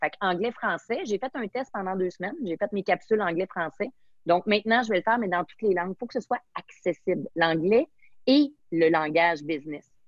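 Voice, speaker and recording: A woman with a Quebec accent at medium pitch and moderate pace, animated in tone, with lively intonation and big swings in loudness. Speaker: sommelier and entrepreneur. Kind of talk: interview.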